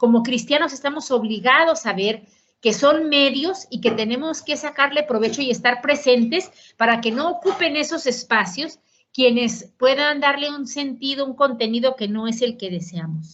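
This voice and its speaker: A woman speaks at a moderate pace with a Mexican accent, her high voice carrying lively intonation. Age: 60s. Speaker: politician and economist. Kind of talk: conference lecture. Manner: conversational.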